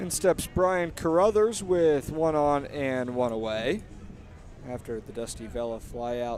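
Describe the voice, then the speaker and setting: An unremarkable speaking voice with lively intonation at a fairly slow pace. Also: man. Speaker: radio play-by-play announcer. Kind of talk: live baseball radio play-by-play.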